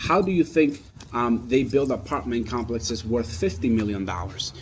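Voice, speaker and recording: Over noticeable background noise, a man with medium pitch speaks with ordinary pitch variation. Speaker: capital raising consultant. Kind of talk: promotional talk. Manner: fast; animated.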